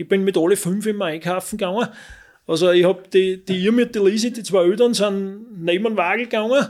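A man's high voice, fairly quick in pace and fairly even in intonation. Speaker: father of Paralympic skiers. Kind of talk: interview.

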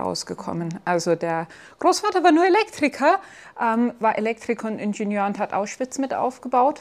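This woman has lively intonation. She keeps a moderate pace. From Bavaria, Germany (between Chiemsee and Salzburg). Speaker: physician. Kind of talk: interview.

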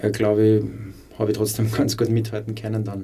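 With a dark, mellow tone and a somewhat breathy quality, a man speaks at a fairly low pitch in a flat monotone, with audible echo in the room. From Upper Austria. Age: 20s. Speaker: former footballer and teacher. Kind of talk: interview.

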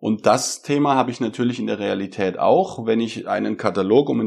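Over a quiet background, a man speaks at a moderate pace. His pitch varies in an ordinary way. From Germany, Karlsruhe area (Baden). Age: 30s. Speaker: data scientist. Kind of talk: interview explanation. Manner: hesitant with fillers.

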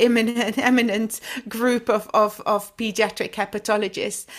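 A woman speaks with a Dutch accent in a flat, monotone delivery. The recording is very clean, with a silent background. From Flanders, Belgium. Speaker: pediatric hepatologist. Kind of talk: interview. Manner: halting.

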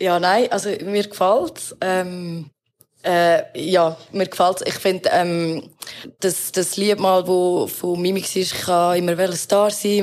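At a very slow pace, a woman speaks with medium pitch. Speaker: rapper. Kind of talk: casual chat.

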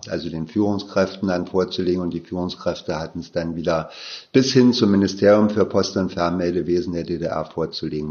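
Ordinary variation shows in the pitch. The delivery is fairly quick. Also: man. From East Berlin. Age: 60s. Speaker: safety engineer, former telegraph office head. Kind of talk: oral history interview. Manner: halting, frequent fillers.

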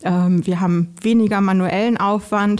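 This woman has a plain, everyday voice at a medium pitch. Her intonation is fairly even. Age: 30s. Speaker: recruiter. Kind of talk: interview. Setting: studio.

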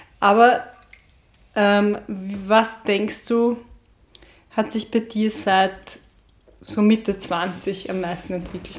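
A woman's monotone, flat intonation over noticeable background noise. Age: 30s. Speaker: podcast host. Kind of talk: interview. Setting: at the guest's home.

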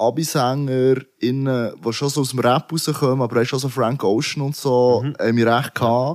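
A man with an unremarkable speaking voice at a moderate pace, on a very clean recording with a silent background. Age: 30s. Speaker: rapper. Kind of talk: casual chat.

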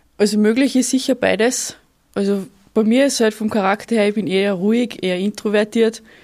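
A woman with an unremarkable speaking voice talks fairly quickly at a fairly high pitch, with very even loudness and fairly even intonation, on a very clean recording with a silent background. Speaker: sport shooter and soldier. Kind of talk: interview.

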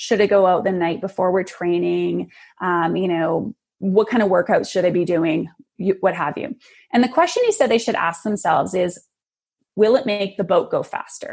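At a moderate pace, a woman with a plain, everyday voice speaks at medium pitch with ordinary pitch variation. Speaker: clarity coach. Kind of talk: interview.

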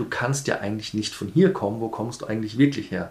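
A man talks with fairly even intonation. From Kenya (Nairobi). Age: 40s. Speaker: interviewee. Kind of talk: interview.

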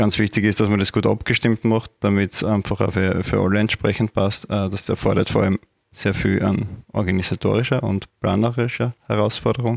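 Monotone, flat intonation in a very clean recording with a silent background and a dry, close sound with no echo. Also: man. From Austria, Upper Styria. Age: 30s. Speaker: party official. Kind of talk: interview. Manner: hesitant, many fillers.

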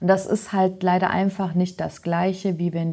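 A woman's fairly low, dark, mellow voice at a moderate pace, monotone and flat in intonation, on a very clean recording with a silent background. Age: 30s. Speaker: trainee in healthcare administration. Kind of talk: casual interview.

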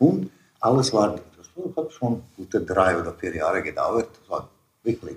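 A man with a non-native accent speaks at a fairly slow pace and medium pitch, somewhat breathy, with lively intonation. Long, frequent pauses break up his speech. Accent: German with foreign. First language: Serbo-Croatian (speaking German). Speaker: immigrant father. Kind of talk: interview storytelling. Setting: at home. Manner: halting.

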